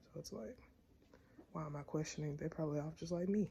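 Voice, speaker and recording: With an American accent, a woman speaks in a fairly low pitch, her voice somewhat breathy with a dark, mellow tone. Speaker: vlogger. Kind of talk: casual vlog talk.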